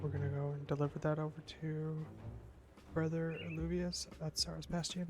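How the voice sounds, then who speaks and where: A woman speaks at a moderate pace. Her voice is quiet. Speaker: gaming streamer. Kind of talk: live gameplay commentary. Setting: home stream, neighbors upstairs. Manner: quiet, held-down voice.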